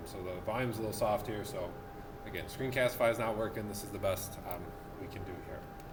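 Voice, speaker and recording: With noticeable background noise and audible room echo, a man with a fairly low pitch speaks at a very fast pace and with fairly even intonation. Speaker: math teacher. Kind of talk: tutorial. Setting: classroom. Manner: soft-spoken. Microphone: quiet recording volume.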